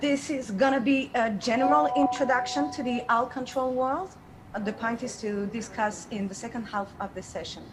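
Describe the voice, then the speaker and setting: A woman with a French accent, high-pitched, with lively intonation and a moderate pace, over noticeable background noise. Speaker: game designer and artist. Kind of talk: online workshop presentation. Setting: video call. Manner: hesitant, with fillers.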